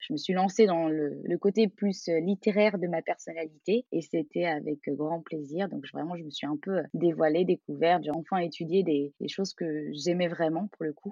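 This woman has a normal speaking voice, fairly low in pitch, and she moves at a moderate pace with fairly even intonation and hardly any pauses. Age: 30s. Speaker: calligrapher, former primary school teacher. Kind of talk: interview conversation.

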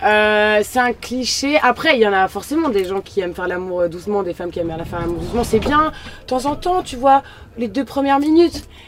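Against noticeable background noise, a woman with a fairly high voice talks at a fairly quick pace, her pitch swinging very widely. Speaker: influencer. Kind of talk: casual chat. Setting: outdoors in a van at a party.

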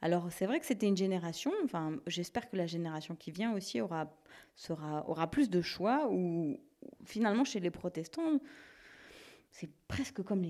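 Her dark, mellow tone sits at a fairly low pitch as this woman moves at a fairly slow pace with lively intonation. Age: 30s. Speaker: theologian. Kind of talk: interview.

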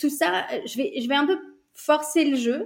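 Lively intonation marks this woman's speech. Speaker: business coach. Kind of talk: interview.

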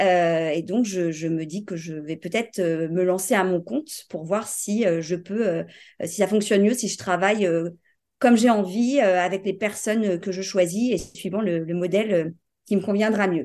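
Against a quiet background, a woman speaks fairly slowly at a medium pitch with ordinary pitch variation and a dark, mellow tone. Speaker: business owner. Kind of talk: interview.

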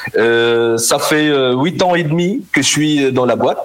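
There is noticeable background noise behind a man whose voice sits fairly high in pitch. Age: 30s. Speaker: corporate lawyer. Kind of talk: interview. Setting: remote recording.

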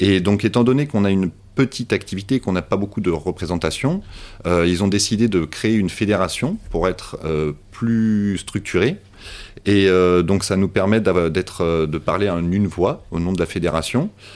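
Moderate in pace, a man talks with ordinary pitch variation. His voice sits fairly low. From Paris region, France. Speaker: fishing guide. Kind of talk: casual interview. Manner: halting.

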